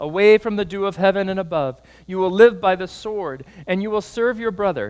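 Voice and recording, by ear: The passage is heard as reading aloud in a natural voice, the intonation fairly even.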